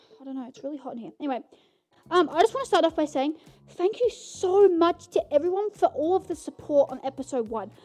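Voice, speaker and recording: Over music in the background, a woman talks at a very fast pace in an extremely high pitch, with very wide pitch swings and big swings in loudness. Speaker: podcast host. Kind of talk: casual chat. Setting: home recording in bedroom. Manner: animated.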